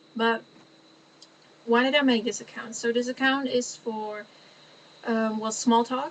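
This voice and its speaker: With a Dutch accent, a woman speaks in a fairly high, monotone, flat voice, leaving long, frequent pauses. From Netherlands. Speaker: vlogger. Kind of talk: casual chat. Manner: halting.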